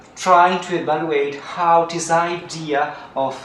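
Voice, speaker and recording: There is noticeable background noise. Room echo is audible too. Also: man. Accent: non-native. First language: Italian. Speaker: archaeologist. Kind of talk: conference talk. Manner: halting, many fillers.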